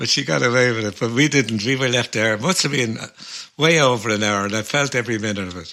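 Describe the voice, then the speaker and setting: In a Dublin accent, the speaker moves at a very fast pace with ordinary pitch variation. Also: man, medium pitch for a man. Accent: Dublin Irish. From Ireland. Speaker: folk musician and podcast co-host. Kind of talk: casual chat. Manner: animated storytelling.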